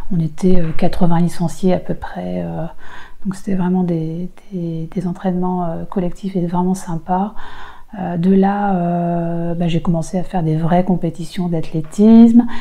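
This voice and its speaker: Noticeable background noise surrounds a woman with a fairly low pitch. She speaks at a fairly slow pace in a monotone, flat intonation. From Roubaix, northern France. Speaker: race walker, former elite athlete. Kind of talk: interview answer.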